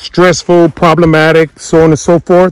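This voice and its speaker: At a moderate pace, a man speaks in a dry sound with no echo over a quiet background. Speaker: farm owner vlogger. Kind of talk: casual vlog chat. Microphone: phone near.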